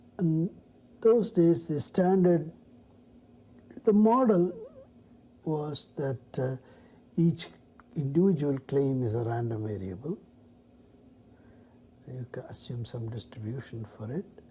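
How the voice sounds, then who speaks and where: A man with a fairly high pitch and a dark, mellow, somewhat breathy tone, at a very slow pace with long, frequent pauses, very wide pitch swings and big swings in loudness. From India (Chennai). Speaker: mathematician. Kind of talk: interview answer.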